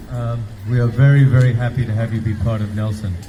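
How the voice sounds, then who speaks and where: Speaking at a fairly quick pace, a man with a non-native accent has a medium pitch and ordinary pitch variation. Noticeable background noise and audible room echo fill the recording. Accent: noticeable foreign. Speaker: rally speaker. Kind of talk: protest speech.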